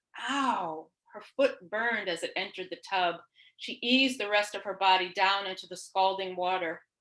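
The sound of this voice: The background is quiet behind an unforced reading voice.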